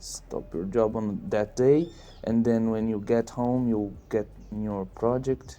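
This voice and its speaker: Speaking very slowly with a non-native accent, a man holds a medium pitch with ordinary variation while music plays in the background. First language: not English. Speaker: indie game developer. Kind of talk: casual monologue. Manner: halting.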